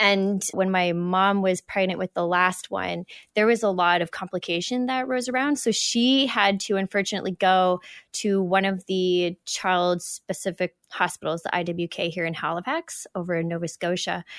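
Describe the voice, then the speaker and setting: A woman with a Canadian accent has an unremarkable speaking voice at medium pitch, moving at a moderate pace with ordinary pitch variation. The recording is very clean with a silent background and a dry, close sound with no echo. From Western Canada. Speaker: gym owner and fitness coach. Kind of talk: interview.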